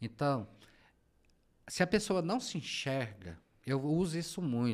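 A man speaks at a fairly slow pace with very wide pitch swings. The recording is very clean, with a silent background. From Goiás, Brazil (rural, Trindade). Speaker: journalist and business consultant. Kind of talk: interview.

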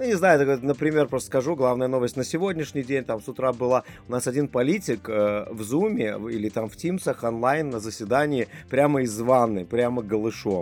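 A man at a moderate pace with lively intonation, music playing behind him. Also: medium pitch for a man. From Lithuania. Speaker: guest from Lithuania. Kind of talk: casual chat.

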